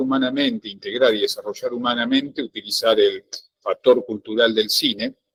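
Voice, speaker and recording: A man's voice comes through dry and close, without any echo. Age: 60s. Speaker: student. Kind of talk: class discussion. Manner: halting, many fillers.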